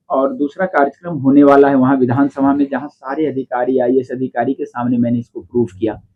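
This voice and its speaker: A man with an ordinary speaking voice talks at a moderate pace, fairly high in pitch and with ordinary pitch variation. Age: 60s. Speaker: faith healer. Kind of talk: interview.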